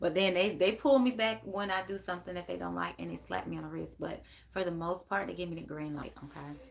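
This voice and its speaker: Quiet but animated, a woman speaks at a very fast pace. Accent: American. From Memphis, Tennessee (US South). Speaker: psychic medium live-streamer. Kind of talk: casual live stream chat. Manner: quiet, talking low.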